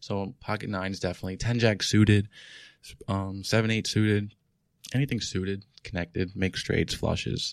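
A man with a New York accent speaks fairly quickly at a fairly low pitch. His intonation is monotone and flat, and the recording is very clean with a silent background. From New York City, Queens. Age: 20s. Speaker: professional poker player. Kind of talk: casual interview. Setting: studio.

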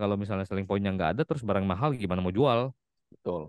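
Dry, close sound with no echo and a quiet background, carrying a man's voice with ordinary pitch variation. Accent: slight Palembang. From Palembang, South Sumatra, Indonesia. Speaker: IT worker and TikTok content creator. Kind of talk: casual interview chat.

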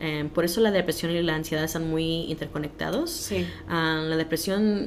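A woman's fairly low voice at a fairly slow pace, with noticeable background noise. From Los Angeles, US. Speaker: mental health educator. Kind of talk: interview.

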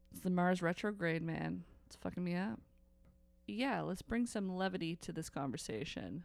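Her tone animated and playful, a woman with a fairly low pitch talks at a moderate pace with lively intonation and big swings in loudness. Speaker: podcast host. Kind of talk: casual chat. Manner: animated, playful.

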